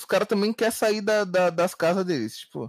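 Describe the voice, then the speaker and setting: The sound is dry and close with no echo as a man talks at a fairly quick pace with ordinary pitch variation. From Rio de Janeiro, Brazil. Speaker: rapper and music artist. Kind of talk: casual chat.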